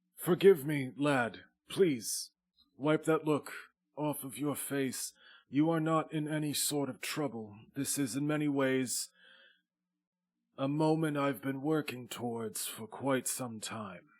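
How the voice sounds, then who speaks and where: A man uses a put-on character voice at a fairly high pitch. He leaves long, frequent pauses. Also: fairly slow pace. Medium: actual play. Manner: stately, measured.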